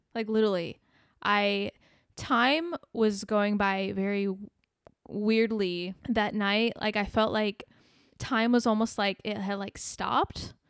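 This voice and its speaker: In a very clean recording with a silent background and a dry, close sound with no echo, a woman with an American accent speaks at a very slow pace, with a medium pitch and fairly even intonation. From US Midwest, small-town Illinois. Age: 30s. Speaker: musician. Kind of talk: casual chat. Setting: living room.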